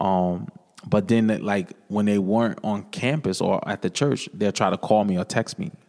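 Recorded very cleanly against a silent background, a man with an American accent speaks at a moderate pace in a fairly low pitch. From New London, Connecticut. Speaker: church musician sharing testimony. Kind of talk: casual chat; testimony. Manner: hesitant with frequent fillers.

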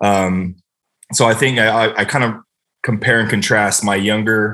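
Flat and monotone in intonation, a man with an American accent speaks in a fairly low pitch with a bright, sharp tone. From US West Coast. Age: 30s. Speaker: NFL long snapper. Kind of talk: casual interview chat. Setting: podcast interview. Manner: fast, many fillers.

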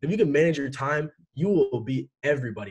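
A man talks at a fairly quick pace in a fairly high, somewhat breathy voice. His intonation is lively. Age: young. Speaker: e-commerce entrepreneur. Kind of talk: interview. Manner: casual, many fillers.

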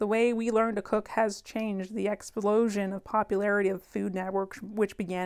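Pitched in a medium range, a woman speaks in an animated tone. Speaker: podcast host. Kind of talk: vintage commercial parody read aloud in a mock retro ad voice, then back to casual chat; casual chat podcast. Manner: exaggerated, sing-song retro announcer delivery, tongue-in-cheek and playful; animated, laughs often.

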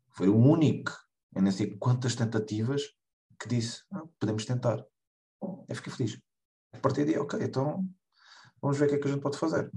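A man with a medium pitch and a dark, mellow, somewhat breathy tone speaks at a moderate pace. His intonation is lively, and he leaves long, frequent pauses. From Portugal, Lagos (Algarve). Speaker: American football head coach. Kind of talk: interview. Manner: halting, with repetitions.

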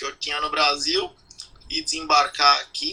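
A male voice talks while noticeable noise fills the background. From Brazil, São Paulo. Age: 40s. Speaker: emigrant sharing experience. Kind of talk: casual interview.

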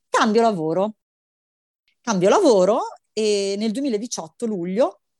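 An animated tone carries this voice, with ordinary pitch variation throughout. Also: woman. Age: 40s. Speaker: mother sharing birth story. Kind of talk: testimony.

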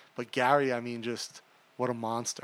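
An ordinary speaking voice at a moderate pace. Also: man. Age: 40s. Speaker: podcast host and tech entrepreneur. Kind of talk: casual interview chat.

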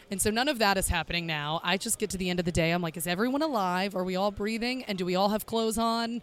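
Talking very fast with hardly any pauses, a woman with a Southern US accent has a medium pitch and ordinary pitch variation. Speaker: sports broadcaster. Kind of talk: casual chat.

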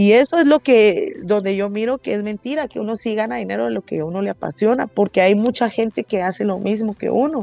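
A woman with a Guatemalan accent and a medium pitch talks at a fairly quick pace with hardly any pauses, her dark, mellow tone and lively intonation heard in a dry, close sound with no echo. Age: 20s. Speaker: rapper and singer. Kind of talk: interview.

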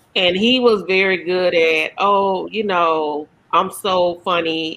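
In a bright, sharp tone, a woman with a fairly low voice speaks at a very slow pace with fairly even intonation. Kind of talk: casual chat.

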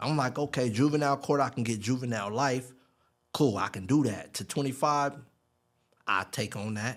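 A man with an American accent, medium pitch and ordinary pitch variation, at a moderate pace with long, frequent pauses, on a very clean recording with a silent background. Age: 30s. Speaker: formerly incarcerated man. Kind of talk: interview testimony.

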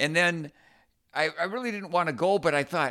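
A man speaks at a moderate pace in a fairly high pitch. His tone is bright and sharp, and the recording is very clean with a silent background. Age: 60s. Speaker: podcast co-host, former college runner. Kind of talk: casual chat.

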